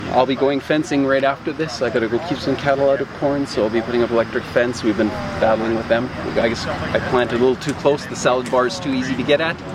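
A man with a Canadian accent at a very fast pace, hardly any pauses, medium pitch and fairly even intonation, over noticeable background noise. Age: 40s. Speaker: farmer. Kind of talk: casual interview. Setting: outdoors on a farm.

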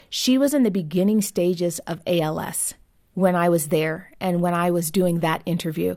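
With an American accent, a woman speaks in a dark, mellow tone at a fairly low pitch and moderate pace, with ordinary pitch variation, in a very clean recording with a silent background. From US, Southern California. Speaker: author and marriage advocate. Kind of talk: interview.

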